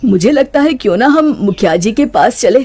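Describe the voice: In a cartoonish character voice, the speaker uses lively intonation and a slightly mellow tone at a moderate pace. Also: man, extremely high pitch for a man.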